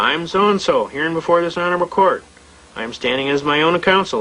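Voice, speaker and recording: A man speaks at a high pitch with ordinary pitch variation. Noticeable background noise runs behind him. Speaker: sovereign-citizen style legal lecturer. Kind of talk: storytelling talk to an audience. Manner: fast; animated.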